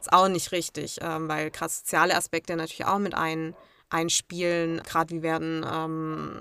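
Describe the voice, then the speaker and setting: In a very clean recording with a silent background and a dry, close sound with no echo, a woman speaks with a bright, sharp tone, fairly low pitch and monotone, flat intonation. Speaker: travel blogger. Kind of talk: interview.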